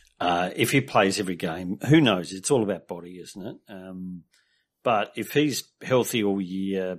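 A man's very deep, low pitch with an Australian accent, ordinary pitch variation and a fairly slow pace. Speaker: fantasy football pundit. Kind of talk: casual chat. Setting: video call.

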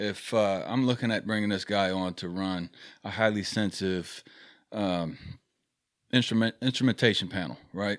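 A moderate pace with ordinary pitch variation and long, frequent pauses, on a very clean recording with a silent background. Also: man, fairly low pitch for a man. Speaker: safety professional guest. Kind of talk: casual debate discussion. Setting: studio.

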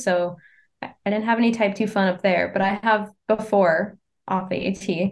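A woman's plain, everyday voice at medium pitch, with an American accent, fairly even intonation and a moderate pace, over a quiet background. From Maine, US (small town north of Portland). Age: 20s. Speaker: long-distance hiker. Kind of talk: interview.

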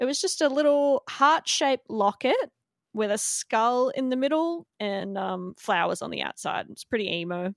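An Australian accent with lively intonation and big swings in loudness, in a dry, close sound with no echo. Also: woman. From Australia, Melbourne. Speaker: tattoo artist. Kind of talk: casual interview.

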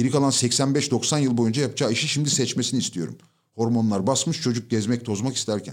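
A man's normal speaking voice, "a normal speaking voice" at medium pitch with ordinary pitch variation and a fairly quick pace, on a very clean recording with a silent background. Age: 40s. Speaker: corporate training consultant. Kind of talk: casual chat.

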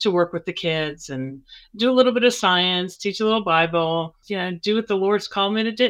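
A normal speaking voice moves at a fairly quick pace with ordinary pitch variation over a quiet background. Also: woman, medium pitch for a woman. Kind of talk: casual chat. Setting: video call.

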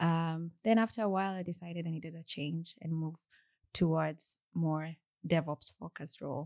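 This woman's voice sits fairly low and moves at a moderate pace. Her intonation is fairly even, and the sound is dry and close with no echo. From Kenya. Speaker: software engineer. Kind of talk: podcast interview. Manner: halting.

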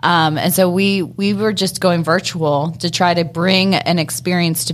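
At a moderate pace, a woman with a plain, everyday voice speaks with fairly even intonation. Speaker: distiller. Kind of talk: interview.

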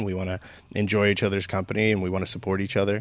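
In a very clean recording with a silent background, a man talks at a very fast pace with a fairly low pitch. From San Gabriel Valley, California. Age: 30s. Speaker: record store owner. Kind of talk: casual interview.

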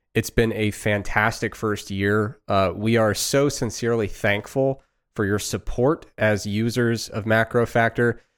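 A man of medium pitch talks at a fairly slow pace with hardly any pauses and fairly even intonation on a very clean recording with a silent background. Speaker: podcast host and nutrition scientist. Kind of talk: casual live Q&A conversation. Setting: live video stream. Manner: slow talker.

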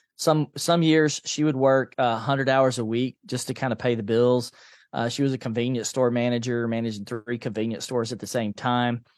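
A speaker with an American accent and a normal speaking voice talks at a moderate pace with fairly even intonation. The sound is dry and close with no echo, over a quiet background. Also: man, medium pitch for a man. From US South, Nashville, Tennessee. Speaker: financial coach and author. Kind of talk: interview.

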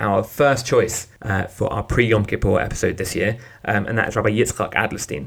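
Talking at a fairly quick pace, a man uses an ordinary speaking voice with fairly low pitch and ordinary pitch variation. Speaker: podcast host. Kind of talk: podcast intro and discussion.

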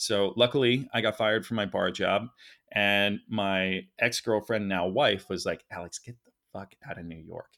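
A man's normal speaking voice, fairly low in pitch, with ordinary pitch variation and big swings in loudness. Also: moderate pace. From Philadelphia. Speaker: nonprofit film co-founder. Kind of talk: interview conversation.

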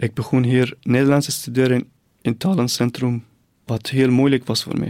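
In a Persian accent, a man speaks at a fairly slow pace with a medium pitch and fairly even intonation. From northern Iran, near the Caspian Sea. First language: Persian (speaking Dutch). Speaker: refugee newcomer. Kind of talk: personal testimony. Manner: halting.

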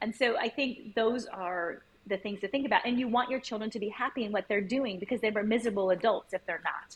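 A woman with an American accent speaks at a very fast pace with hardly any pauses. Her fairly high pitch is somewhat breathy, with fairly even intonation. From United States. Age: 50s. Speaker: education consultant. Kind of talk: interview.

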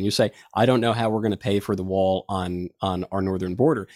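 The sound is dry and close with no echo. A man speaks with a fairly low pitch. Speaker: political podcast host. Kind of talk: political commentary, casual. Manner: articulate, flowing.

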